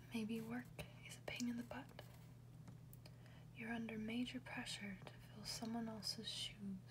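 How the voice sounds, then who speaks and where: A soft-spoken woman whispers at a fairly slow pace, with long, frequent pauses. Noticeable background noise sits behind her. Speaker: ASMR reader. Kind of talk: ASMR whisper book reading. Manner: whispered, soft-spoken.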